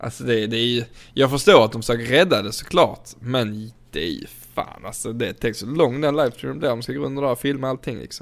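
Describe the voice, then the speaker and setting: A man speaks in an animated tone at a fairly quick pace, with medium pitch and ordinary pitch variation. Vocal fry runs through his voice, and his loudness swings widely. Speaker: podcast host. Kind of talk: casual chat.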